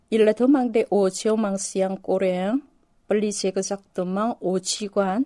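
A woman speaks very slowly with a Korean accent in a medium pitch and a dark, mellow tone. Her intonation is fairly even, and the sound is dry and close with no echo. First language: Korean (speaking French). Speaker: novelist and university lecturer. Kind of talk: interview. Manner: halting.

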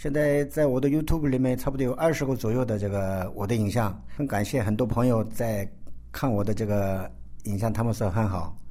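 There is audible room echo as a man speaks at a fairly quick pace. His voice has a fairly low pitch and a dark, mellow tone. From South Korea (ethnic Chinese). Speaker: chef. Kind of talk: interview.

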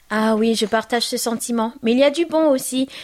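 A woman speaks at a high pitch in a warm tone. Her intonation is fairly even. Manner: warm, affectionate.

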